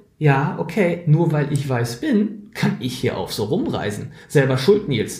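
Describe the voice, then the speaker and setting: There is audible room echo as a man speaks with lively intonation. His voice is fairly high-pitched and somewhat breathy. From Schleswig-Holstein, northern Germany. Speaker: podcast co-host, diversity trainer. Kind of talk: casual conversational podcast. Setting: remote call between two cities.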